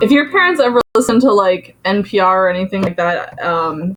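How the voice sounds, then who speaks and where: This woman has an unremarkable speaking voice, medium in pitch with ordinary pitch variation, and talks at a moderate pace. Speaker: music teacher. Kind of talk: online class lecture. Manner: casual, filler-heavy.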